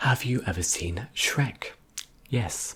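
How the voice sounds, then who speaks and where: A man speaks in a British accent. His voice is somewhat breathy. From England. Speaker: ASMR YouTuber. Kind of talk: Q&A video. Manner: whispering.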